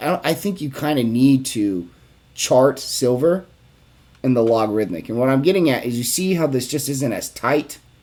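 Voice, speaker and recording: This is an unremarkable speaking voice from a man at medium pitch. His pitch varies in an ordinary way. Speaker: investing video creator. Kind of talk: chart analysis tutorial. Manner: casual with fillers.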